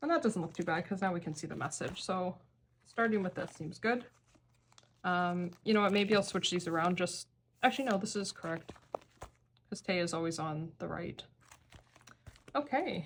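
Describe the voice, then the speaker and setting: A somewhat breathy woman at medium pitch, with ordinary pitch variation and long, frequent pauses. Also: moderate pace. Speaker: K-pop card collector vlogger. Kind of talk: casual hobby tutorial.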